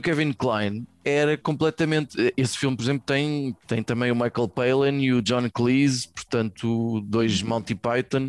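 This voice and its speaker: A man with an ordinary speaking voice, medium pitch and moderate pace, in a dry, close sound with no echo. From Portugal, Venda Nova (Lisbon area). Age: 40s. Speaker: podcast co-host. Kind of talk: casual chat. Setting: video call.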